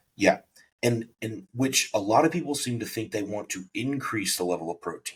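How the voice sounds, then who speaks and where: A man's somewhat breathy voice sits at medium pitch with ordinary pitch variation. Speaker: bodybuilding coach and podcast host. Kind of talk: casual podcast chat.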